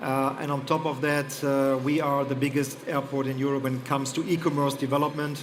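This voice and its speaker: A man's fairly high voice with a German accent, amid audible room echo and noticeable background noise. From Germany. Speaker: airport executive. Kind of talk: panel discussion. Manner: hesitant, many fillers.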